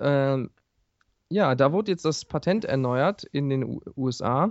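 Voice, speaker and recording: A man talks with ordinary pitch variation. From Ruhr area, near Duisburg. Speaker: gaming podcast co-host. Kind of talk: casual chat.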